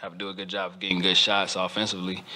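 Over light background noise, a man speaks in a very deep, low pitch with monotone, flat intonation. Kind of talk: interview answer. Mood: content after a win. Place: meeting room. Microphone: podium.

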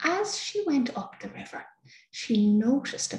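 Audible room echo surrounds a woman speaking in a soothing, gentle tone with an Irish accent. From Ireland. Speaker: storyteller. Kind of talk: fairy-tale storytelling, bedtime story. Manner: soothing, slow, gentle, warm. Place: home room. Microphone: webcam.

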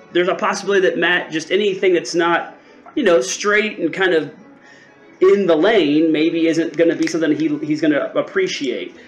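A man's voice with ordinary pitch variation, music in the background. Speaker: spirits reviewer. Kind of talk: casual review vlog chat. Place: home room.

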